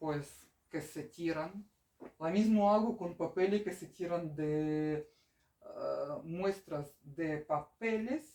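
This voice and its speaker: Very slowly, a woman speaks in a fairly low pitch with a dark, mellow tone and ordinary pitch variation. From Ukraine. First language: Russian or Ukrainian (speaking Spanish). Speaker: craft artist, interpreter. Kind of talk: casual chat. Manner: halting.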